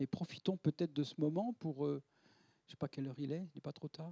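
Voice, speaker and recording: A man's fairly high voice with a dark, mellow tone, fairly quick in pace, in a dry, close sound with no echo. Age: 70s. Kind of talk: lecture. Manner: halting, with frequent repetitions and fillers.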